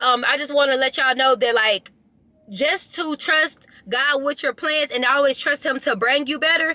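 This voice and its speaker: A woman's raised, projected voice, high in pitch with ordinary variation and an animated tone, in a dry, close sound with no echo. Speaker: motivational vlogger. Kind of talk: casual chat. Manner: fast.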